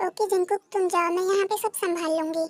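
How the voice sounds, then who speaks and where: A woman uses a put-on character voice, squeaky and extremely high-pitched, at a moderate pace. Her intonation is monotone and flat, her loudness very even, and the sound dry and close with no echo. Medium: fan dub. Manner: bossy.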